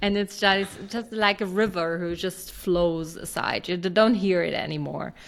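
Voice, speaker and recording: A woman speaks with a German accent at a moderate pace. Her intonation is fairly even, with hardly any pauses. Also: medium pitch for a woman. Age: 40s. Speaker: startup founder. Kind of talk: interview.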